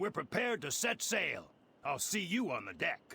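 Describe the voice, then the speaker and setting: Raspy and high-pitched, a man does a put-on character voice at a moderate pace. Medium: video game. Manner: terse, guarded.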